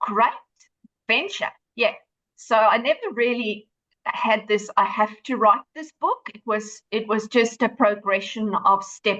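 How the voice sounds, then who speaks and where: At a very slow pace, a woman with a South African accent speaks in a bright, sharp tone and fairly high pitch, with ordinary pitch variation, big swings in loudness, and a dry, close sound with no echo. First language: Afrikaans. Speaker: author and running coach. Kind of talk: podcast interview. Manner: hesitant with fillers.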